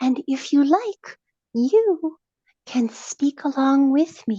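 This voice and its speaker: In a put-on character voice, a woman speaks at a very slow pace with a high pitch and a soothing tone. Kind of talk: guided meditation. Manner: slow, soothing.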